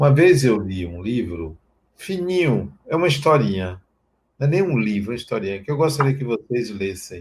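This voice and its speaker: A man's voice, somewhat breathy, swings very widely in pitch. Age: 60s. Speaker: spiritual teacher. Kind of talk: spiritual talk.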